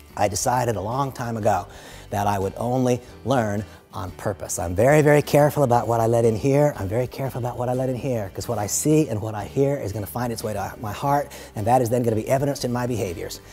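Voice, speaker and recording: A man at a medium pitch and a very fast pace, with ordinary pitch variation and music in the background. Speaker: motivational speaker. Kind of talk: motivational talk. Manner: animated.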